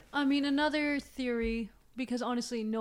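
A woman keeps her intonation fairly even at a moderate pace, using a normal speaking voice. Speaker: guest sharing story. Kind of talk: casual interview storytelling.

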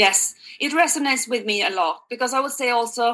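A woman speaks in a Swedish accent with a fairly high pitch and a bright, sharp tone. Her intonation is lively. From Sweden. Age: 40s. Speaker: health coach. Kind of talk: interview.

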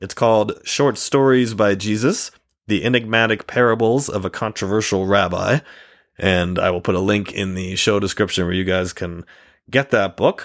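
A normal speaking voice from a man, fairly low in pitch with ordinary pitch variation, at a moderate pace in a very clean recording with a silent background. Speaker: podcast host. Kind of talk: casual podcast hosting with a sales pitch.

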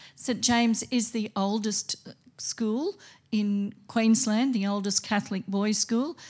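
Speaking at a moderate pace, a woman has a dark, mellow tone, a somewhat breathy sound and fairly even intonation on a very clean recording with a silent background. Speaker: school principal. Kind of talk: open evening presentation. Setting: school hall with audience.

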